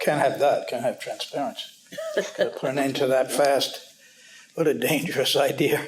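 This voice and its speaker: A man with an American accent speaks at a fairly high pitch. His pace is fairly quick, with noticeable background noise. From New York City. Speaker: news editor. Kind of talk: panel talk. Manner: fast.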